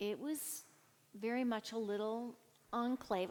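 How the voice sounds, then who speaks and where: A woman with an American accent has an unremarkable speaking voice, fairly high in pitch, with fairly even intonation. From California. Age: 60s. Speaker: minister. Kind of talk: casual chat.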